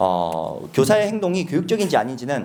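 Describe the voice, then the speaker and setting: His voice swings through a very wide pitch range. Vocal fry runs through this man's speech. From South Korea, Busan. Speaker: researcher, former elementary school teacher. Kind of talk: conference talk.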